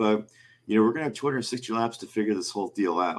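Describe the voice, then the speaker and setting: Here a man speaks in a normal speaking voice at a medium pitch. His pitch variation is ordinary. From US South, near New Orleans. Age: 30s. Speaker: motorsports writer. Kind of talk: casual chat.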